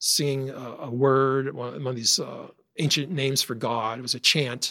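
A man's medium-pitched voice with an American accent, a plain, everyday voice, at a moderate pace on a very clean recording with a silent background. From upstate New York. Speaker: software engineer, religious podcast guest. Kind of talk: personal testimony.

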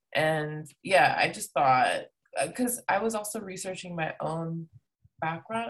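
This woman has a fairly low, somewhat breathy voice. Her pitch varies in an ordinary way. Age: 30s. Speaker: DJ and music producer. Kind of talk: casual chat.

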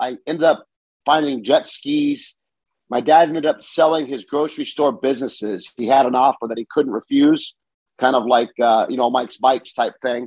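With an American accent, a man talks at a moderate pace and medium pitch in an unremarkable speaking voice, with fairly even intonation and a dry, close sound with no echo. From Southern California, US. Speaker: bicycle shop owner. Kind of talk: casual interview chat.

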